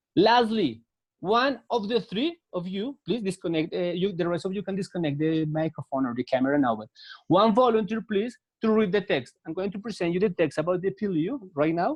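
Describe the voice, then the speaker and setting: A man with a Spanish accent talks at a fairly quick pace and a high pitch. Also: lively intonation. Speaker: English teacher. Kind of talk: online English class. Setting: video call.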